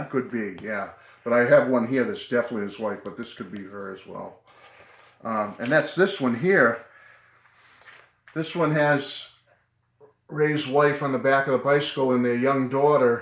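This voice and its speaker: A man with an American accent at a medium pitch and moderate pace, with ordinary pitch variation, big swings in loudness and long, frequent pauses. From Attleboro, Massachusetts. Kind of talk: casual talk to camera.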